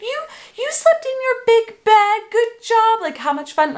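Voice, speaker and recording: Putting on a cheerful, excited character voice, a woman speaks at an extremely high pitch with very wide pitch swings at a fairly slow pace. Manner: cheerful, excited, praising.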